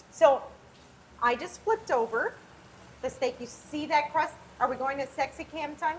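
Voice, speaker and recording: A high-pitched woman with an animated tone and lively intonation, at a moderate pace, with big swings in loudness, long, frequent pauses and noticeable background noise. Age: 40s. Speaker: chef and cookbook author. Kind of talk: casual chat. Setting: home kitchen live stream.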